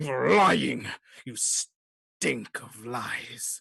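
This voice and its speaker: Someone uses a put-on character voice that is loud, growling and raspy. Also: man, medium pitch for a man. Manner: threatening.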